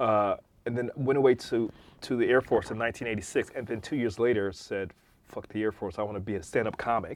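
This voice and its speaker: A man with a normal speaking voice and an American accent speaks at a fairly quick pace and medium pitch, keeping his intonation fairly even. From Detroit, US Midwest. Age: 50s. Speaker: techno DJ and producer. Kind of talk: casual interview.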